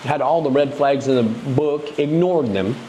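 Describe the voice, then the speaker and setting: Amid noticeable background noise, a man with a fairly high pitch speaks at a moderate pace. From United States. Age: 50s. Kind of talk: casual interview conversation.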